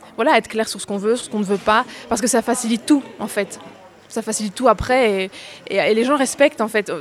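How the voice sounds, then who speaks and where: A woman talks at a fairly high pitch with fairly even intonation. She has a plain, everyday voice. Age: 20s. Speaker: actress and voice-over artist. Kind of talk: interview.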